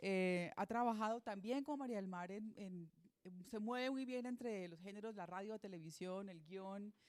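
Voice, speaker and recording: A woman talks at a moderate pace in a normal speaking voice, medium in pitch. Her pitch variation is ordinary. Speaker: moderator of a literary talk, teacher. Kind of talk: panel introduction.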